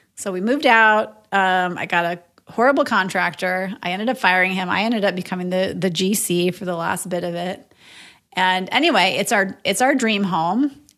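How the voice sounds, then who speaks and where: A woman with an Upper Midwest accent, medium-pitched and bright and sharp in tone, at a moderate pace with ordinary pitch variation, on a very clean recording over a silent background. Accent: Upper Midwest American. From northern Minnesota (Moorhead). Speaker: real estate investor and agent. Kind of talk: casual interview.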